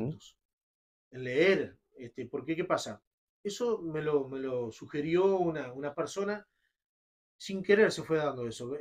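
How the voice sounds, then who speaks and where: Using lively intonation and a Uruguayan accent, a man with a fairly high pitch speaks at a fairly slow pace with long, frequent pauses. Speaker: radio announcer and poetry reciter. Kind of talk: interview answer.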